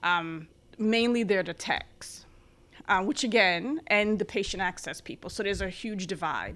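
With a New York accent, a woman speaks at a moderate pace in a bright, sharp tone, her medium pitch showing ordinary variation on a very clean recording with a silent background. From New York City area (Bronx, Long Island). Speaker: physician assistant. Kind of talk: interview.

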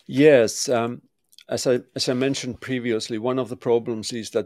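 Very clean with a silent background and a dry, close sound with no echo, the recording captures a man with a Finnish accent speaking at medium pitch and a moderate pace. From Finland. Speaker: construction tech consultant and architect. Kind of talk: interview. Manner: halting.

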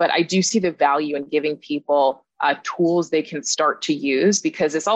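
A woman with an American accent and a very deep, low pitch shows ordinary pitch variation in a dry, close sound with no echo. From California. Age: 30s. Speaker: author and podcast host. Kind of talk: interview conversation.

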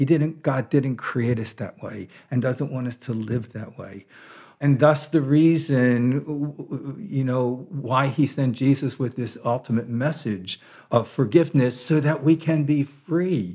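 In an American accent, a man speaks at a fairly slow pace in a dark, mellow tone with ordinary pitch variation. The recording is very clean, with a silent background. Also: medium pitch for a man. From US, Baltimore, Maryland. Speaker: monk and priest. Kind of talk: interview on spirituality. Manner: halting, many fillers.

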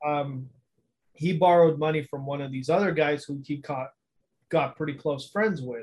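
Somewhat breathy, a man talks at a fairly high pitch with fairly even intonation. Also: moderate pace. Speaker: podcast host. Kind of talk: casual chat.

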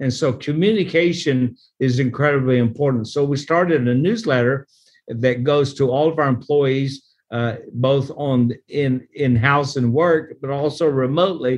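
An ordinary speaking voice, a man with an American accent talks at a moderate pace and fairly high pitch, with ordinary pitch variation and very even loudness. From Oklahoma. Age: 60s. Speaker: pastor and nonprofit leader. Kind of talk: interview.

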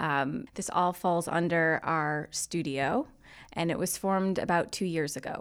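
In a US Northeastern accent, a woman speaks at a fairly slow pace with a fairly low pitch and ordinary pitch variation. The recording is very clean, with a silent background. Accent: US Northeast. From Connecticut, US. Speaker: media executive. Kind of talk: interview.

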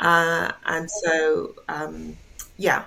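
A woman with a London accent. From England (London), born in Jamaica. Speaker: art curator. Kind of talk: interview.

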